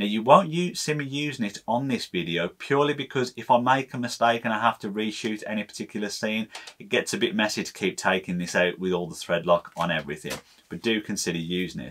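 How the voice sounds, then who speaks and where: A man talks at a very fast pace in a fairly low pitch, with big swings in loudness. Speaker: maker channel host. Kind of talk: tutorial. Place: workshop.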